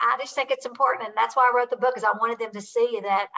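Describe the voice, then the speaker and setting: A woman with a Southern US accent talks with ordinary pitch variation. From Kentucky. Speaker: author and real estate investor. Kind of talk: podcast interview.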